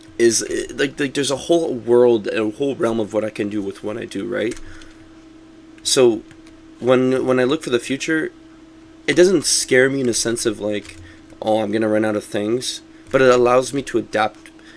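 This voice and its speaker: A man's medium-pitched voice with ordinary pitch variation and long, frequent pauses, over noticeable background noise. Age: 20s. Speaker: gaming streamer. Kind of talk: casual chat. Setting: live stream. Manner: fast.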